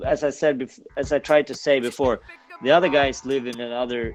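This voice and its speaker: A man speaks with a Swedish accent while music plays in the background. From Sweden, Stockholm. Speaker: punk band singer. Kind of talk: interview. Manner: halting.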